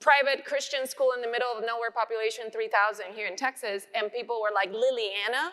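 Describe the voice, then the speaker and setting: Barely pausing, a woman with a Spanish accent speaks at a fairly quick pace in a fairly high voice with fairly even intonation. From Colombia. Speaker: business executive. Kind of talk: panel discussion.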